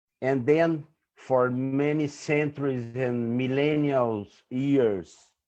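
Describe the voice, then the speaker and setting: A man with a Brazilian Portuguese accent talks at a very slow pace in a medium pitch, with a dark, mellow tone and fairly even intonation. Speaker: environmental activist. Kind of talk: conference talk. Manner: halting.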